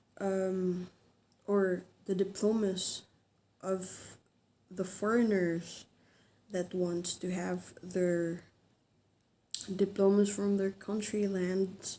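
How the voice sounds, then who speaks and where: Very slow, monotone speech with a dark, mellow tone and long, frequent pauses. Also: woman, medium pitch for a woman. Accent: Filipino. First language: Filipino. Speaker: vlogger. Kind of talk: informational vlog. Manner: halting, many fillers.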